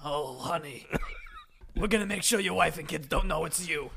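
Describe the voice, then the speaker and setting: A man puts on a raspy character voice, pitched high and delivered at a moderate pace. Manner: flamboyant, campy.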